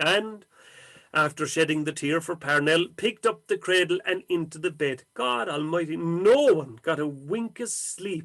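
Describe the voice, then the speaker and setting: This man's voice is fairly high in pitch. He talks at a fairly slow pace. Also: ordinary pitch variation. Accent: Irish. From County Cork, Ireland. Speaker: storyteller. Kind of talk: traditional folk tale telling.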